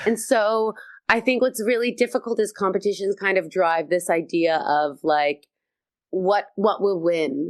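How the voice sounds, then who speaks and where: A woman speaks in an animated tone with lively intonation at a fairly slow pace. Her loudness stays very even over a quiet background. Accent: American. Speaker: comedian. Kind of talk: casual interview chat. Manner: animated, high energy.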